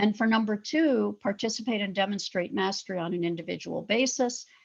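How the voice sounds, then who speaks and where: The voice moves at a moderate pace with lively intonation. Vocal fry runs through it. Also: woman. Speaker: professor. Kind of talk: lecture.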